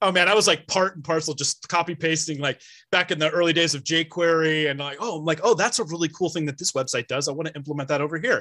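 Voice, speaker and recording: In a West Coast American accent, a man with a fairly high pitch and a bright, sharp tone talks at a very fast pace with hardly any pauses on a very clean recording with a silent background. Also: ordinary pitch variation. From California, San Francisco Bay Area. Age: 40s. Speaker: 3D printing business owner. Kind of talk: casual chat. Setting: live-streamed podcast.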